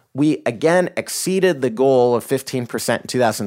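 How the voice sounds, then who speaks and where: Speaking with an American accent at a moderate pace, a man has an unremarkable speaking voice. The recording is very clean and the background silent. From rural Idaho, US. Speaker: company CEO. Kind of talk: interview.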